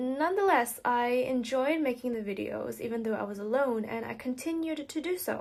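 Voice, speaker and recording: This woman's voice sits high. She talks at a moderate speed. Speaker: youtuber. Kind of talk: reading aloud. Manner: halting.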